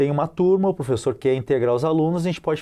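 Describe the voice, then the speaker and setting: Against a quiet background, a man with a dark, mellow tone speaks at a fairly quick pace with ordinary pitch variation. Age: 40s. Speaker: capoeira teacher. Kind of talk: TV interview. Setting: TV studio. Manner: animated; halting.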